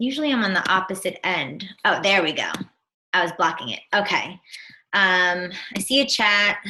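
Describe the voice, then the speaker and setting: Talking at a moderate pace in a New Jersey accent, a woman has a medium pitch, a bright, sharp tone and lively intonation. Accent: New Jersey American. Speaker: fitness business coach. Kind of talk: online team presentation.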